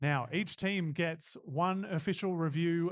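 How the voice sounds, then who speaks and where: Ordinary pitch variation over a quiet background. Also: man. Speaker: roller derby announcer. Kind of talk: live commentary. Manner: animated.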